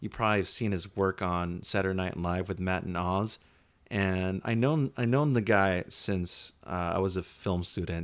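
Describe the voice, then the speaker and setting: A man talks at a moderate pace in a very deep, low pitch with ordinary pitch variation. The recording is very clean, with a silent background. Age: 30s. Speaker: podcast host, filmmaker. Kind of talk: casual chat. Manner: low-energy.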